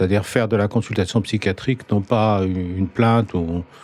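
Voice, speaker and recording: A man's fairly low voice has a dark, mellow tone. He keeps a moderate pace and fairly even intonation. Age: 60s. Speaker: psychiatrist. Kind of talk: casual interview.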